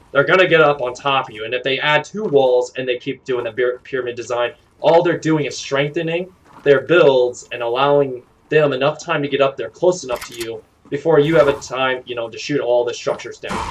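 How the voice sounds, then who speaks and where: A man speaks with a fairly high pitch. His pitch varies an ordinary amount. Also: fairly quick pace, big swings in loudness. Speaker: gaming streamer. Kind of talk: tutorial. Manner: fast; halting.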